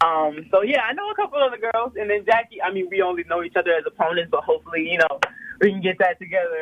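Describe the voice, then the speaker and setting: A woman speaks very fast at a medium pitch, with ordinary pitch variation. Noticeable background noise runs under her voice. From Louisiana, Slidell near New Orleans. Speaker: professional basketball player. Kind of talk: casual interview.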